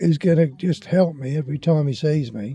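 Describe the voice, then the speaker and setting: With a southern English accent, a man talks at a fairly quick pace in a fairly high, somewhat breathy voice that has a dark, mellow tone and ordinary pitch variation. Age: 60s. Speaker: vlogger. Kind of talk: casual vlog monologue.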